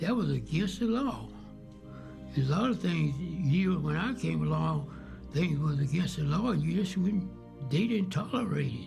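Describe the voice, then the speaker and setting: A man with a Texas accent at a fairly slow pace, music in the background. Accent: Southern US (Texas). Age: 80s+. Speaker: Navy veteran, Pearl Harbor survivor. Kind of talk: interview answer.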